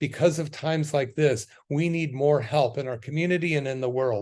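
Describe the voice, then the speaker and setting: Here a man uses a plain, everyday voice at a fairly high pitch. His pitch varies in an ordinary way, his pace is moderate, and the background is quiet. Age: 60s. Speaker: chiropractor and wellness radio host. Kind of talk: radio health talk with promotion. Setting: radio studio. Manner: casual with filler words.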